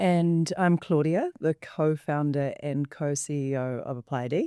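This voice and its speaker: A woman with a New Zealand accent speaks at a fairly slow pace, her pitch very deep and low with ordinary variation. Her tone is dark and mellow, and the sound is dry and close with no echo in a very clean recording with a silent background. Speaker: company co-founder and co-host. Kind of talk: panel discussion.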